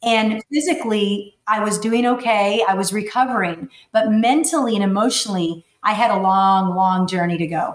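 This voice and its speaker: A woman with an American accent speaks at a moderate pace and hardly pauses. Her pitch is fairly high with ordinary variation, in a normal speaking voice. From Texas, McAllen (Rio Grande Valley). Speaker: life coach and motivational speaker. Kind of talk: personal testimony in interview.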